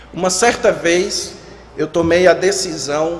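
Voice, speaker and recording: A man speaks at a high pitch with a Ceará accent, with audible room echo and noticeable background noise. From Ceará, northeastern Brazil. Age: 30s. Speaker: pastor. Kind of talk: sermon. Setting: church.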